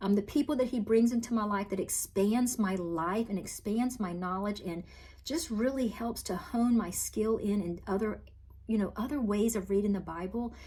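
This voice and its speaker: With a Southern US accent, a woman speaks at a fairly high pitch in a dark, mellow tone that is somewhat breathy. Her pace is moderate, with ordinary pitch variation. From US South (Virginia, then Florida). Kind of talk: testimony. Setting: talking to camera.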